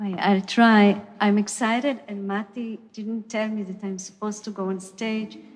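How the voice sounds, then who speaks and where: A woman speaks in an Israeli accent with monotone, flat intonation and hardly any pauses. The background is quiet. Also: medium pitch for a woman, moderate pace. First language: Hebrew. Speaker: choreographer. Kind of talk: panel Q&A answer. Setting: stage with audience. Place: stage. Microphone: handheld.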